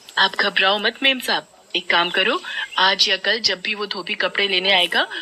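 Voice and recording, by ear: This clip is someone reading aloud in a natural voice.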